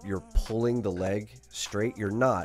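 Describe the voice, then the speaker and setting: A man talks with music in the background. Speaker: jiu-jitsu coach. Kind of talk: match breakdown commentary.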